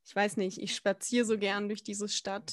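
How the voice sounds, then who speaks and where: Her pitch is medium for a woman. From Baden-Württemberg, mostly Baden-Baden (born Frankfurt, moved around). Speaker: podcast co-host. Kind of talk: casual chat.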